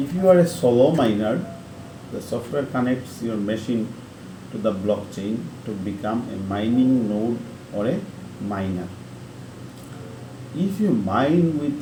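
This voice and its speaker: Audible room echo surrounds a man speaking at a medium pitch. His intonation is lively and his pace fairly slow. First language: not English. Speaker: online tutorial creator. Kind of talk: tutorial. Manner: halting, with self-corrections.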